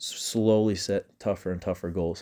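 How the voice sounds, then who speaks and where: With a Utah accent, a man talks at a moderate pace in a fairly low, dark and mellow voice, recorded very cleanly against a silent background. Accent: Utah American English. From Utah, US. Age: 20s. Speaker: college student podcaster. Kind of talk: casual solo monologue. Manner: halting, with frequent repeated words.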